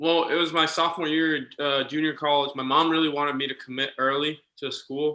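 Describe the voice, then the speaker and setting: A man's fairly high voice, monotone and flat, with a slight Puerto Rican accent. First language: Spanish. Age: 20s. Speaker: minor league baseball manager. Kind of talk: casual chat.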